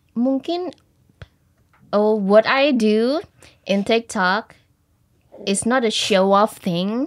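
A woman speaks with lively intonation, broken by long, frequent pauses. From Central Java, Wonogiri; Central Java. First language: Javanese / Indonesian (speaking Indonesian). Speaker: English teacher. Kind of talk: casual interview. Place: studio. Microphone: studio mic.

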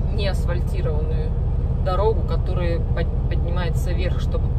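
Loud background noise fills the recording. Over it, a woman speaks at a moderate pace. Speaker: truck driver vlogger. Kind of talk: casual vlog chat. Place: car. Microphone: phone near.

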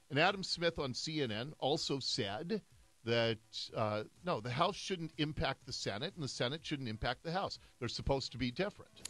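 Bright and sharp in tone, a man with a fairly high pitch speaks with lively intonation at a moderate pace in a dry sound with no echo. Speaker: radio talk show host. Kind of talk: radio talk show commentary. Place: studio. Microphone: studio mic.

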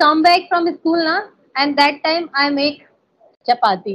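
In an Indian accent, the speaker talks at a fairly slow pace with ordinary pitch variation. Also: woman. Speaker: English conversation practice host. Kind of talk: casual conversation practice. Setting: online call. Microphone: video call.

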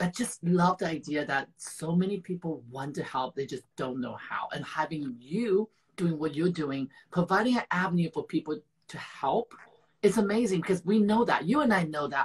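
A man with a fairly high voice and a slightly husky edge speaks at a moderate pace with lively intonation.

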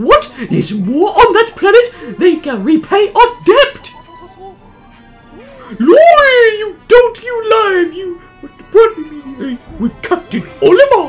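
A put-on character voice at an extremely high pitch moves at a fairly slow pace with long, frequent pauses while faint music plays in the background. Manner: excited and demanding.

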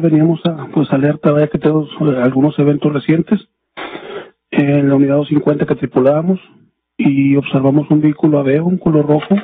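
With light background noise behind him, a man with an unremarkable speaking voice talks at a moderate pace, his fairly high pitch held in fairly even intonation. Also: dry sound with no echo. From Mexico. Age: 30s. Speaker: police officer, witness; witness. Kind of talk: court testimony. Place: hall. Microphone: podium.

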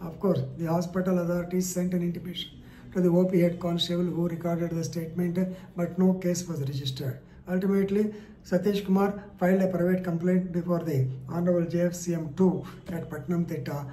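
With audible room echo and light background noise, a man with a high pitch talks at a fairly quick pace in a monotone, flat intonation. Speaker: legal commentator. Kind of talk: explainer on a court case. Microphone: phone near.

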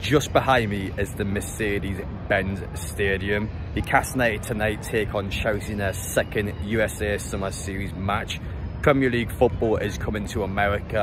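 A man speaks at a fairly quick pace in a fairly low pitch, his intonation fairly even, the sound dry with no echo and music playing in the background. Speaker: football fan vlogger. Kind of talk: casual vlog chat. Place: stadium. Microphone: phone near.

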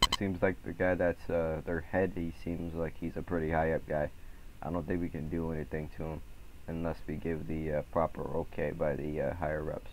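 There is noticeable background noise in the recording. The speaker talks at a moderate pace. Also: man, very deep, low pitch for a man. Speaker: gamer streaming roleplay. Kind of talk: casual gaming chat. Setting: online voice chat in game. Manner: animated, repetitive interjections; raised commanding tone. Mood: aggressive in-character outburst.

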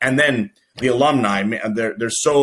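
The man speaks with an American accent and a fairly even intonation. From New York City, Queens; New York. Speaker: college baseball coach. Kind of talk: podcast interview. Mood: relaxed, proud. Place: office.

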